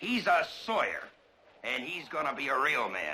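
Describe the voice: In a put-on character voice, a man speaks at a moderate pace with a bright, sharp tone and very wide pitch swings, and room echo is audible. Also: medium pitch for a man.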